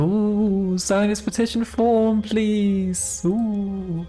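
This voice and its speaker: Faint music plays behind a put-on character voice that speaks at a fairly high pitch and a very slow pace. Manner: spooky.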